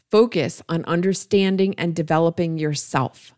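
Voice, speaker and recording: A woman at a moderate pace in an ordinary speaking voice. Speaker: podcast host. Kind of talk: interview, podcast intro.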